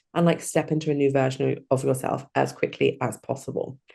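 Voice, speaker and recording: At a moderate pace, a woman with a British accent speaks in a dark, mellow tone. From UK. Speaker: hypnotherapy coach. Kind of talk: interview.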